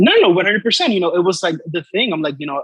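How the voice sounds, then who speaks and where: A man's voice with ordinary pitch variation. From Dominican Republic. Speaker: artist. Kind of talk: interview.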